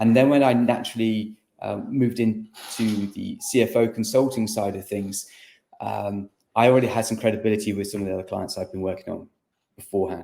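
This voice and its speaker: With an English accent, a man speaks fairly quickly at a medium pitch, his tone dark and mellow and his intonation fairly even. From England. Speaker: business consultant. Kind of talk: podcast interview.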